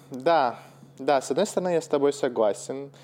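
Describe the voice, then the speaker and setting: A man is speaking. His tone is dark and mellow. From Russia. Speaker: podcast host, English teacher. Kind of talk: casual chat. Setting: call.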